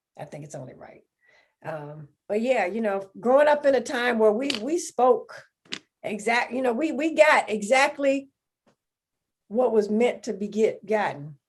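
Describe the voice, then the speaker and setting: A woman's voice shows vocal fry and very wide pitch swings. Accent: Southern US. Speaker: podcast co-host. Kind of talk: casual chat.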